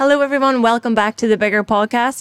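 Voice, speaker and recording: A woman with a Northern Irish accent, at a very fast pace and with fairly even intonation. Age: 30s. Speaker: podcast host. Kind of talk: casual chat.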